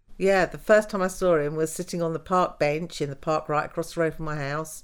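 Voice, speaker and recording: A woman with a southern English accent speaks with ordinary pitch variation on a very clean recording with a silent background. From southern England, Wimbledon. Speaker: mother of the host. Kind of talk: personal storytelling interview.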